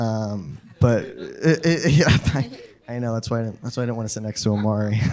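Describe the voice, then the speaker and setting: A man talks at a fairly quick pace and a medium pitch, with ordinary pitch variation over noticeable background noise. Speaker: actor. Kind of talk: post-screening panel Q&A. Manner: halting, many fillers.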